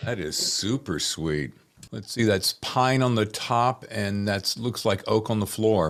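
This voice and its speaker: Speaking at a fairly slow pace, a man uses a fairly low pitch, ordinary pitch variation and an animated tone. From North Carolina. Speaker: podcast host. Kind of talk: casual interview chat. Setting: video call.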